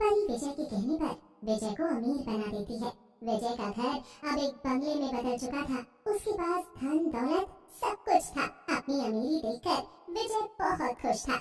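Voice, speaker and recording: Using a cartoonish character voice with a high pitch and very wide pitch swings, a woman speaks at a moderate pace with a slight echo. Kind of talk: children's moral story narration.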